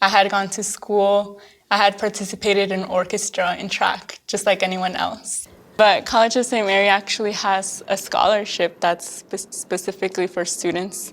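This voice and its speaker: A woman speaks in a normal speaking voice. Her pace is moderate and her intonation fairly even. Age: 20s. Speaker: DACA recipient, digital analyst. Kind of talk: documentary interview.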